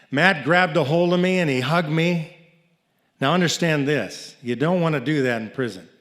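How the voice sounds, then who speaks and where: Audible room echo surrounds a man's fairly high-pitched voice. He keeps a moderate pace with ordinary pitch variation. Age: 60s. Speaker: storyteller, nonprofit founder. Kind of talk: live storytelling. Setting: stage with audience.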